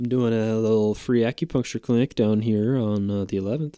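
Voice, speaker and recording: In a gruff, put-on character voice, a man at medium pitch talks at a fairly quick pace with fairly even intonation, the sound dry and close with no echo. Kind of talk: crude, profane. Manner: exaggerated, gruff, comic.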